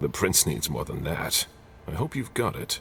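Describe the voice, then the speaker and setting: Over clear background noise, a man puts on a raspy character voice with a very deep, low pitch and a moderate pace. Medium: video game. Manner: terse, controlled.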